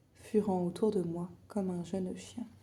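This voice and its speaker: Whispering and soft-spoken, a woman talks at a very slow pace in a somewhat breathy voice. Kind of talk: ASMR book reading. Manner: whispered, calm, slow, soft.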